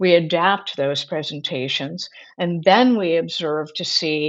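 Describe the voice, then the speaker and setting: Pitch rises and falls in an ordinary way in a plain, everyday voice. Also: woman. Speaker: Montessori educator. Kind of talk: webinar presentation. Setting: webinar.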